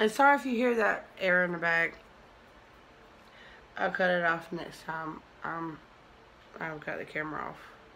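Over light background noise, a woman with a fairly low pitch speaks in a bright, sharp tone with lively intonation and long, frequent pauses. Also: moderate pace. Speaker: makeup creator. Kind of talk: tutorial. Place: home room. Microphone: phone near.

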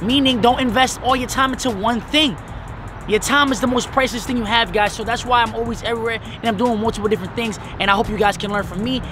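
With music in the background and a dry sound with no echo, a man speaks very fast in a raised, projected voice with fairly even intonation. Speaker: vlogger. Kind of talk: casual vlog chat. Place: street. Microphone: camera far.

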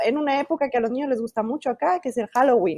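A woman is speaking. Her voice sits high in pitch. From Mexico. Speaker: children's book illustrator and author. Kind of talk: interview. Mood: warm, enthusiastic. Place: home room. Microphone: earbuds.

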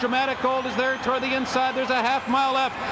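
Amid noticeable background noise, a man projects a raised voice at an extremely high pitch. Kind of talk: live horse race commentary. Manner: builds to an excited, emphatic pitch at the upset finish.

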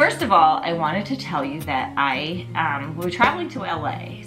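The background carries clear music. A woman talks over it at a moderate pace. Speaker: lifestyle vlogger. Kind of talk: casual vlog chat. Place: home room. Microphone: camera far.

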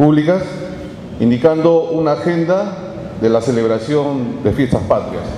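A man with a fairly high pitch talks at a fairly slow pace with ordinary pitch variation over clear background noise.

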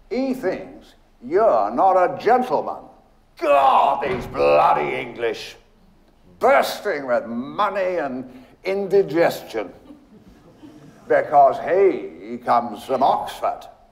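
In a put-on character voice with vocal fry, the speaker goes at a slow pace with big pitch swings, and room echo is audible. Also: man, fairly high pitch for a man.

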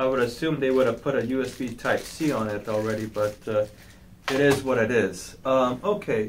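A man speaks with ordinary pitch variation amid noticeable background noise. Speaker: product reviewer. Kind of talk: unboxing tutorial. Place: office. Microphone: camera far.

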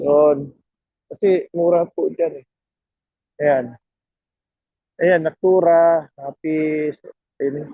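Speaking at a very slow pace with long, frequent pauses, a man uses fairly even intonation and a fairly high pitch. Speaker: vlogger. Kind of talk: walking vlog. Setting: outdoors.

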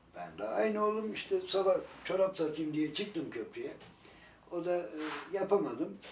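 Fairly slow male speech with audible room echo and light background noise. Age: old. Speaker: grandparent of a sick child, street vendor; street vendor. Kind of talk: casual family chat and appeal to officials. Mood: warm, gently smiling. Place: home room.

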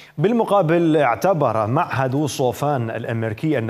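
A man at a moderate pace with lively intonation over noticeable background noise. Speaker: news anchor. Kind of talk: news reading. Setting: studio.

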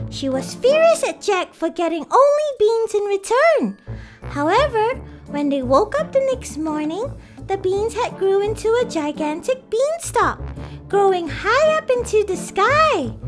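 Clear music plays in the background. Over it comes a cartoonish character voice with an extremely high pitch. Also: moderate pace. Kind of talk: children's educational show. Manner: bright, enthusiastic.

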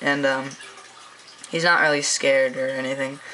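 Light background noise sits under speech at a moderate pace. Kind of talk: casual vlog chat. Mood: relaxed, enthusiastic. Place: home room. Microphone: phone near.

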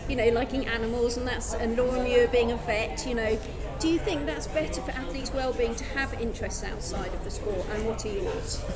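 Fairly quick speech against loud background noise. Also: woman. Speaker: sports interviewer. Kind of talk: interview question. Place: stadium.

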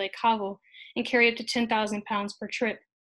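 Against a quiet background, a woman with an American accent speaks at a fairly high pitch and moderate pace in a monotone, flat intonation. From United States. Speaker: history graduate student; conference presenter. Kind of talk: conference presentation. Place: home room. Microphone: webcam.

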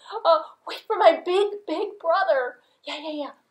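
A woman uses a cartoonish character voice pitched extremely high. She speaks at a moderate pace. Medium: puppet.

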